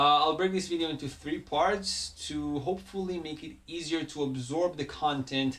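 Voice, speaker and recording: The speaker has a non-native accent. Intonation stays fairly even. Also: man. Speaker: Hebrew teacher. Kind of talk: tutorial. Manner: halting, many fillers.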